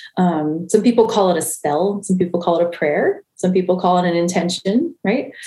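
Speaking with an American accent, a woman uses a dark, mellow, somewhat breathy voice at medium pitch, with ordinary pitch variation, very even loudness, a moderate pace and hardly any pauses. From US Mid-Atlantic, Maryland (near Baltimore). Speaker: spiritual director and Reiki healer. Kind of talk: casual interview conversation.

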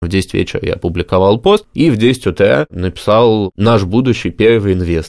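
A man talks at a moderate pace in a fairly low pitch with ordinary pitch variation, and his is an unremarkable speaking voice. The sound is dry and close, with no echo. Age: 20s. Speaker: entrepreneur. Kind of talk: interview.

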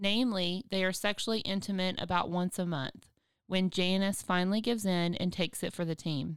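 A woman with a normal speaking voice, medium pitch, fairly even intonation and a fairly quick pace. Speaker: podcast host and biblical counselor. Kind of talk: casual chat and case-study discussion.

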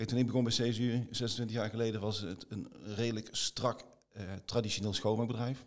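Speaking at a medium pitch, a man delivers his words with monotone, flat intonation. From Limburg, Netherlands (near Venlo). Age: 50s. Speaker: business executive. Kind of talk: interview.

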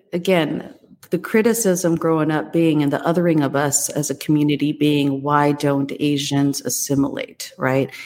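With an American accent, a woman speaks at a moderate pace in a very deep, low pitch, keeping her intonation fairly even and her loudness very even despite noticeable background noise. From Los Angeles, US. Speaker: panelist sharing immigrant story. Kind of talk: casual chat.

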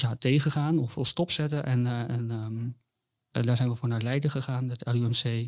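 A man with a medium pitch and fairly even intonation speaks at a fairly slow pace in a very clean recording with a silent background. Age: 20s. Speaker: bereaved father. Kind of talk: personal testimony in interview. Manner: halting, many repetitions and fillers.

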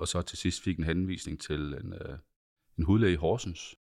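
Very deep, low male speech, recorded very cleanly against a silent background. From central Jutland, Denmark. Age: 50s. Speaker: patient sharing experience. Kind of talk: interview testimony. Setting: studio. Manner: halting, many repetitions and fillers.

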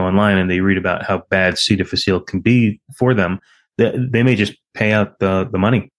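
A man with a normal speaking voice, fairly low pitch, fairly even intonation and a fairly quick pace, recorded dry and close with no echo over a quiet background. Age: 50s. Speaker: podcast host, infectious disease physician. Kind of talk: interview.

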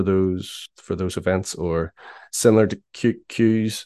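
With a Northern Irish accent, a man speaks in a very deep, low pitch and fairly even intonation, the sound dry and close with no echo against a quiet background. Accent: Northern Irish (Belfast). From Northern Ireland, Belfast. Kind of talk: casual interview. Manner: halting, many fillers.

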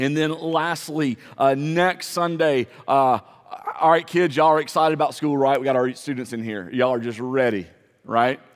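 With an ordinary speaking voice, a man talks at a moderate pace. His pitch is fairly high, with ordinary variation. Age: 40s. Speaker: pastor. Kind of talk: sermon. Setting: church.

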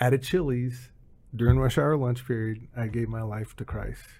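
Somewhat breathy, a man talks at medium pitch. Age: 50s. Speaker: behavioral strategist and former tech recruiter. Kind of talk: testimony.

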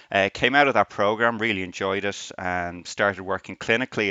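A man with a Dublin accent talks at a fairly quick pace. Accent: Irish (Dublin). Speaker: radiography professor. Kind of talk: interview.

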